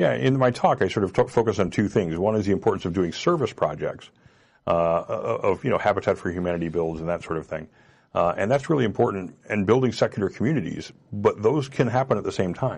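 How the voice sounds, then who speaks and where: With an American accent, a man talks at a very fast pace against a quiet background. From US Midwest. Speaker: blogger and comedian. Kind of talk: live call-in talk show. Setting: studio.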